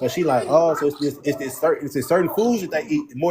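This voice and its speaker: A man talks at a very fast pace with very wide pitch swings. There is noticeable background noise. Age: 30s. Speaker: live stream host. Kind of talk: casual chat. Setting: live stream.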